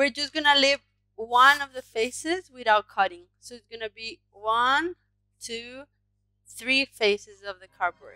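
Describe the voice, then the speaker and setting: A woman's high-pitched voice, fairly slow and with ordinary pitch variation, dry with no echo against a quiet background. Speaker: craft teacher. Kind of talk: tutorial. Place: home room. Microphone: headset.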